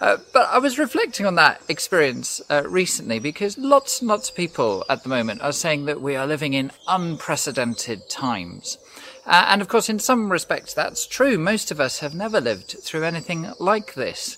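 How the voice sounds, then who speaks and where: A man's high-pitched voice with very wide pitch swings, a moderate pace and hardly any pauses, over noticeable background noise. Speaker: pastor. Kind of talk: sermon.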